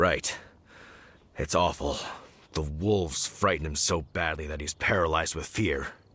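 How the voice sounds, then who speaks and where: A man's raspy, put-on character voice, very deep and low, at a moderate pace with long, frequent pauses. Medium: video game.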